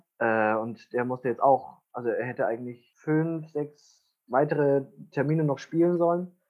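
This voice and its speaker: A man with a normal speaking voice talks at a moderate pace, his pitch fairly high and his pitch variation ordinary. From Bavaria (Wunsiedel, Upper Franconia). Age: 20s. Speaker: musical theatre actor. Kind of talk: casual chat.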